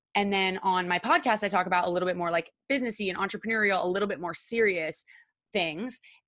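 A woman with a medium pitch and ordinary pitch variation speaks at a very fast pace on a very clean recording with a silent background. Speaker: content creator and podcast host. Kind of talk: interview conversation. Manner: casual, uses filler words.

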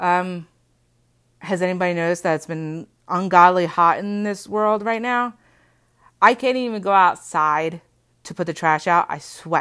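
A woman speaks in a bright, sharp, nervous tone with ordinary pitch variation, leaving long, frequent pauses. The recording is very clean, with a silent background. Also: medium pitch for a woman, moderate pace. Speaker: podcast host. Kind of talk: casual solo podcast monologue. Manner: nervous, sometimes halting; informal, chatty.

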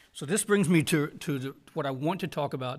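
Fairly quick male delivery in a Southern US accent with ordinary pitch variation. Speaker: podcast host and Bible college teacher. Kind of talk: interview. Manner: halting, many fillers.

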